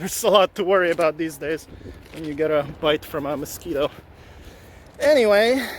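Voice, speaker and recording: A man with a high pitch talks at a fairly quick pace in a relaxed tone, using ordinary pitch variation and long, frequent pauses, against noticeable background noise. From Ukraine, moved to Canada as a child. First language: Ukrainian or Russian. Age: 40s. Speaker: vlogger and collector. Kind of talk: casual vlog monologue. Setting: outdoors, walking. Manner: relaxed, halting with many fillers.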